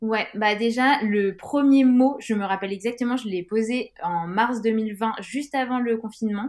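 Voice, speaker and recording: Using a normal speaking voice, a woman talks fairly slowly at a fairly high pitch with fairly even intonation. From France, Grenoble. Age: 30s. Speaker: non-fiction author. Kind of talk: interview.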